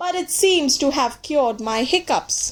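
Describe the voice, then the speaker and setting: A put-on character voice at a moderate pace. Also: woman. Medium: read story. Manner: polite.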